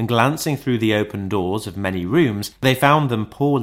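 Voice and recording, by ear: Natural-voiced reading aloud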